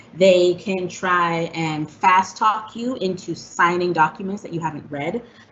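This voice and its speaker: A woman talks in a medium-pitched voice against noticeable background noise. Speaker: fair housing presenter. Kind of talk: informational presentation. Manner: fast.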